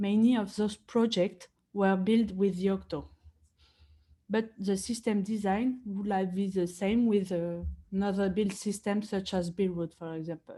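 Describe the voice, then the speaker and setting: A woman speaks slowly-ish, at a fairly slow pace, in a medium-pitched, somewhat breathy voice with a dark, mellow tone and fairly even intonation. The recording is very clean, with a silent background. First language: not English. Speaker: software engineering consultant. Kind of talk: conference talk.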